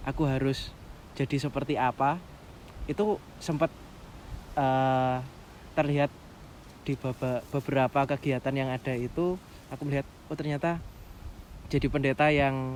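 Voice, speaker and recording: Pausing long and often, a man with a fairly high pitch keeps a moderate pace and fairly even intonation. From East Java, Pasuruan. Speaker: trainee pastor. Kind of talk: casual interview chat.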